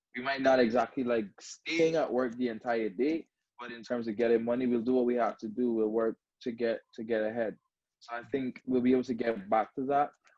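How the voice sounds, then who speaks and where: A man talks at a fairly quick pace in a Guyanese accent. His pitch is medium and his intonation fairly even. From Guyana. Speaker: journalist. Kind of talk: interview answer.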